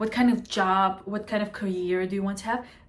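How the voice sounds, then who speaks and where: A woman speaks in a somewhat breathy voice. Her pitch shows ordinary variation. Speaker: astrologer. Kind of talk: casual astrology talk to camera. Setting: at home. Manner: animated.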